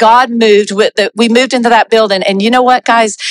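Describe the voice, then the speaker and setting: Fairly high in pitch, a woman with an American accent talks at a fairly quick pace with fairly even intonation, in a dry, close sound with no echo. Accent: Southern US, audible to Canadian listeners. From US South, South Carolina. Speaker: pastor, former missionary. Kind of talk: church testimony and encouragement. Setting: church with congregation.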